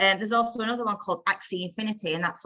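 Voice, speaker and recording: With a northern English accent, a woman speaks in a bright, sharp tone with ordinary pitch variation. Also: dry, close sound with no echo. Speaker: crypto community call presenter. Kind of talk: casual group video call talk. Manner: fast; animated.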